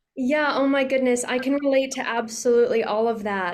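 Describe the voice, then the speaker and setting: A woman speaks with fairly even intonation over audible room echo. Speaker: interviewer. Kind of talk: interview.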